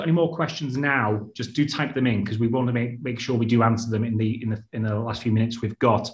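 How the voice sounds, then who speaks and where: Against a quiet background, a man talks at a very fast pace with hardly any pauses. His voice is somewhat breathy. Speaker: webinar moderator for education channel. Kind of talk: webinar moderation. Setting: video call. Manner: hesitant, many filler words.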